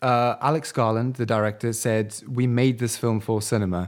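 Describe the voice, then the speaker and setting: On a very clean recording with a silent background, a man with a British accent speaks at a moderate pace in a medium pitch. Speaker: podcast co-host. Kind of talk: casual podcast chat.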